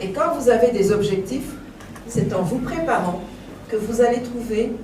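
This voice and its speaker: A woman talks at a fairly slow pace in a fairly high pitch, her tone animated. Noticeable background noise and audible room echo surround her. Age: 60s. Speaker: motivational speaker. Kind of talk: motivational talk. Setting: conference hall with audience.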